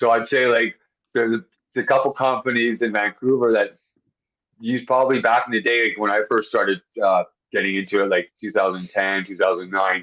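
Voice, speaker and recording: A plain, everyday voice from a man at a medium pitch, with a fairly quick pace and ordinary pitch variation. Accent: Canadian. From Canada. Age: 40s. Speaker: high-rise window cleaner. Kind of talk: podcast interview.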